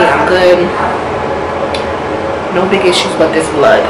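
A woman speaks with music in the background. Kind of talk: casual vlog chat. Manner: tired, soft recovering voice. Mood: tired but reassuring. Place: home room. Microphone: phone near.

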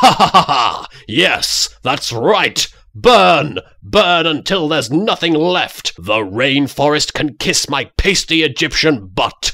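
A man's put-on character voice, fairly high in pitch and fairly slow in pace. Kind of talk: comedic parody dub. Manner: maniacal, gloating.

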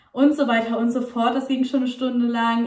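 There is audible room echo as a woman speaks. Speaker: vlogger. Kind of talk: casual vlog chat. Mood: cheerful, a bit hurried. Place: home room. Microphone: phone near.

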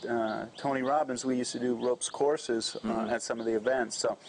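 A man talks at a very fast pace with fairly even intonation over light background noise. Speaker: interviewer, channel host. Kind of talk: interview questions. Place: cafe.

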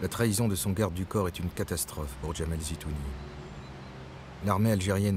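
A man with a low pitch speaks at a fairly quick pace.

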